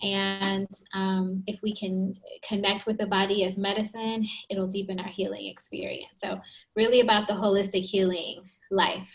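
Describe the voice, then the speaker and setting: A soft-spoken woman talks in a somewhat breathy voice with monotone, flat intonation. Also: medium pitch for a woman, moderate pace. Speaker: psychologist. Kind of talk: interview.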